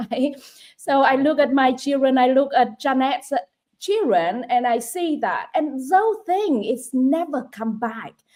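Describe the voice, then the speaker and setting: This woman has a high pitch and a Vietnamese accent. She talks at a fairly slow pace with lively intonation. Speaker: online business coach. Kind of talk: live stream chat.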